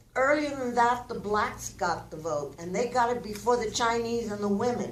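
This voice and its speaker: A woman speaks fairly slowly in a fairly high pitch, with audible room echo and noticeable background noise. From Cuba, raised in Oklahoma from age six. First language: Spanish. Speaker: community speaker. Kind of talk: public testimony. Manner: impassioned.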